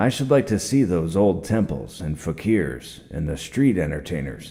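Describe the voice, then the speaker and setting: A man puts on a character voice, pitched very deep and low. His pitch swings very widely. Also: moderate pace. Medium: read story.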